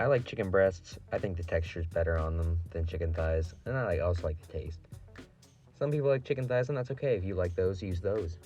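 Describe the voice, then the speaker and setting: Over music in the background, a man with a very deep, low pitch speaks at a fairly quick pace with lively intonation. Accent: American. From Ohio. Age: young. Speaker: line cook. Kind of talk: casual cooking tutorial.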